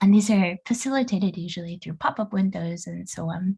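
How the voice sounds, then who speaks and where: Somewhat breathy female speech, dark and mellow in tone. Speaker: international expert speaker on digital marketing. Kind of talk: online presentation. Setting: video call.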